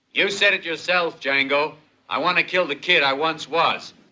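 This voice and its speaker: A man does a put-on character voice at a fairly high pitch, keeping a moderate pace and fairly even intonation. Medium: short film.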